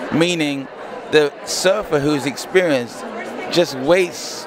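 A man with a fairly high pitch and ordinary pitch variation speaks very slowly, in a dry sound with no echo and noticeable background noise. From Nigeria. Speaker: online channel host. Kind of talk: interview. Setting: expo event. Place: hall. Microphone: handheld.

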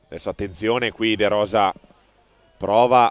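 In a dry, close sound with no echo, a man at a medium pitch speaks in an excited, animated tone. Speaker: football match commentator. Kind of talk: live sports commentary, highlights voiceover. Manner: excited, animated, rapid-fire play-by-play with exclamations at goals; partisan, cheering for the home team.

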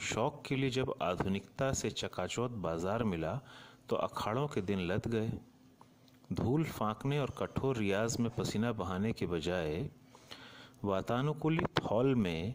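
Using an ordinary speaking voice, a man talks at a medium pitch with lively intonation. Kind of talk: documentary narration.

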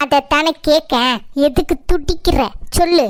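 A cartoonish character voice at a very slow pace, with ordinary pitch variation and a dry, close sound with no echo. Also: woman, high pitch for a woman. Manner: loud, scolding.

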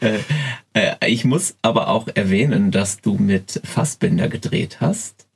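Speaking very slowly at medium pitch, a man keeps his loudness very even while his pitch swings very widely. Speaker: podcast host. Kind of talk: interview questions.

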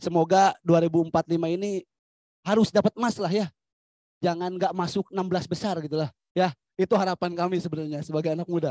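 A man with a high-pitched voice and a dark, mellow tone speaks at a fairly quick pace with fairly even intonation, leaving long, frequent pauses. The sound is dry with no echo, over a quiet background. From Majalengka, West Java; West Java. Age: young. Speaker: youth community activist; panelist. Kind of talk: panel discussion. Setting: forum with live audience. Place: open country. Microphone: handheld.

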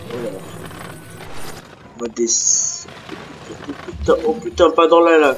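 A man with a fairly high pitch talks at a very slow pace with lively intonation over noticeable background noise. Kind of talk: casual gaming tutorial commentary. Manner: hesitant, casual.

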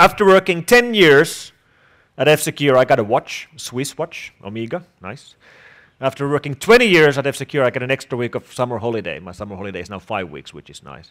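The speech moves at a fairly quick pace over a quiet background. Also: man, big swings in loudness. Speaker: conference keynote speaker. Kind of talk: lecture. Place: hall. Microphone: headset.

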